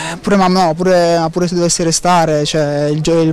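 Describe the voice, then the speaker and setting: A man speaks at a high pitch and a fairly quick pace, monotone and flat. The sound is dry, with no echo. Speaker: footballer. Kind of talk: interview. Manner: halting, repeats words. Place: hall. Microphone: handheld.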